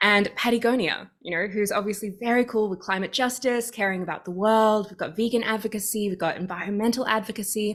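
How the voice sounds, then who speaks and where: A woman with an Australian accent talks very fast at a fairly high pitch, her intonation fairly even. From Australia, Sydney. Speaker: activist and coach. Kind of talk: casual interview chat. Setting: video call.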